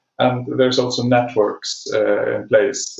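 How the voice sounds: A man speaks at a fairly low pitch, his intonation fairly even. Vocal fry runs through his voice.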